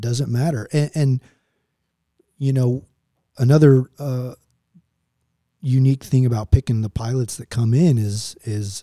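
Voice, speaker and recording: A man's medium-pitched, somewhat breathy voice with an American accent, dark and mellow in tone, at a moderate pace with fairly even intonation, in a dry, close sound with no echo. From Oklahoma, Tulsa. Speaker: retired Marine pilot. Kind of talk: interview conversation.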